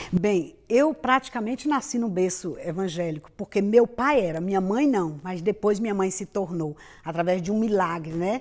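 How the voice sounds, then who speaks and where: On a very clean recording with a silent background, a woman speaks in a normal speaking voice at a medium pitch and a moderate pace, with lively intonation and hardly any pauses. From Brazil, Bahia. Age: 50s. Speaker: pastor and missionary. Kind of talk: interview testimony.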